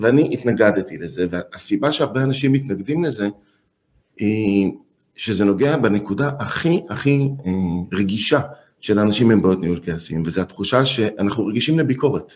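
Using a plain, everyday voice, a man speaks at a moderate pace and medium pitch, with lively intonation. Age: 50s. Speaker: anger management expert. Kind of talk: interview.

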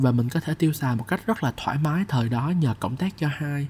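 At a fairly quick pace, a man talks in a somewhat breathy voice with a dark, mellow tone. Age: 20s. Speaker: podcast host and copywriter. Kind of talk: personal storytelling monologue.

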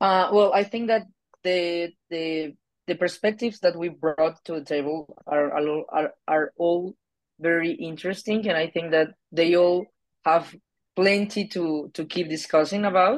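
A woman speaks with a Spanish accent. Her pitch is fairly low. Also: ordinary pitch variation, fairly slow pace. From Colombia. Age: 20s. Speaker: political scientist. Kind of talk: debate. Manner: halting.

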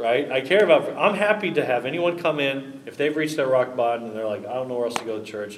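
Audible room echo surrounds a man talking at a medium pitch with ordinary pitch variation. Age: 30s. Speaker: pastor. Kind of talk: casual chat.

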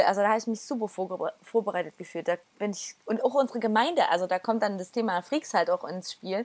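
A woman's fairly high, fairly quick voice with hardly any pauses, a normal speaking voice, in a dry, close sound with no echo. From Erzgebirge, Saxony, Germany. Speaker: church community member. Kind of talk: casual chat.

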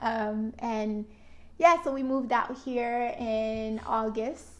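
Keeping her intonation fairly even, a woman with an American accent speaks at a fairly high pitch. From Florida. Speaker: married couple podcast co-host. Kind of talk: casual chat. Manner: voice goes up high.

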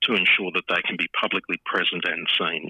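A man speaks at a fairly quick pace. He has an Australian accent. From Queensland, Australia. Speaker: hotel industry association chief executive. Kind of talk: interview. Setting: phone call.

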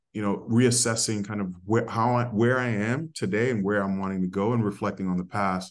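With an American accent, a man talks at a moderate pace in a fairly low voice and fairly even intonation against a quiet background. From New York City, the Bronx. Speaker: corporate diversity executive. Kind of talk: interview conversation. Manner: rolls his R's when saying his name; hesitant, many fillers.

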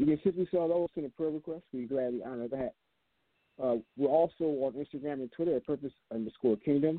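With a fairly high pitch and ordinary pitch variation, a man speaks at a very fast pace. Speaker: network announcer. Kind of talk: announcements. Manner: quick, casual.

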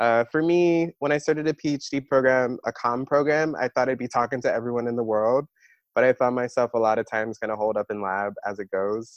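Against a quiet background, a man with an American accent and an ordinary speaking voice talks at a fairly quick pace and medium pitch, his pitch varying in an ordinary way, with a dry, close sound and no echo. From Maryland, US. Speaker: podcast co-host, PhD student. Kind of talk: casual chat.

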